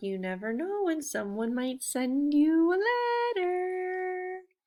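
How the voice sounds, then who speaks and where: Very wide pitch swings in a put-on character voice with a gentle, warm tone, at a very slow pace. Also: woman, extremely high pitch for a woman. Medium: read story.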